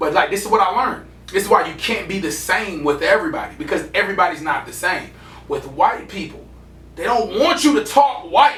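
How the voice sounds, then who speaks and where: A man with an American accent speaks at a fairly quick pace, his high pitch swinging very widely. Music plays in the background, and the room echo is audible. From Atlanta, Georgia, US South. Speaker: podcast co-host. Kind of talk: casual chat.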